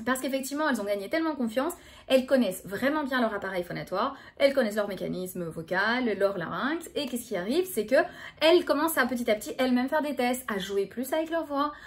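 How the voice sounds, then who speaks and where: Her voice is high-pitched, and this woman talks at a very fast pace with lively intonation. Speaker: speech therapist. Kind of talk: educational talk to camera. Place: home room. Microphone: phone near.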